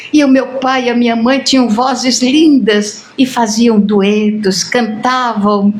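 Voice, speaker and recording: A woman speaks very slowly at a high pitch. Audible room echo and noticeable background noise surround her voice. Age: 80s+. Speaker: spiritist lecturer. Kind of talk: lecture. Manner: animated.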